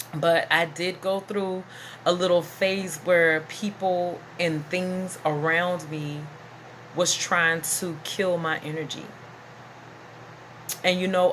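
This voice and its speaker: Through noticeable background noise, a woman talks at a fairly low pitch. Her pace is very slow, with long, frequent pauses. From US South. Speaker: vlogger. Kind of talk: casual monologue vlog. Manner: animated.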